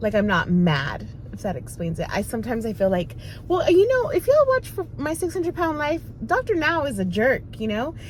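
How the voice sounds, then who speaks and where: Noticeable background noise accompanies a woman talking fairly quickly. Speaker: vlogger sharing weight loss journey. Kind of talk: casual vlog talk to camera. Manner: hesitant, many fillers.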